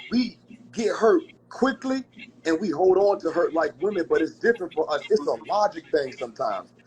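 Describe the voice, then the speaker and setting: Over noticeable background noise, a man with a high pitch speaks at a fairly quick pace in an animated tone with lively intonation. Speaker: talk show host. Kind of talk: casual chat. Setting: livestream. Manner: fast.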